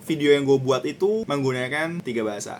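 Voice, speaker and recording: A man's fairly high, lively voice at a fairly quick pace, with noticeable background noise. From Jakarta, Indonesia. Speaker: vlogger. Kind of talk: vlog narration. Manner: casual, with English code-switching.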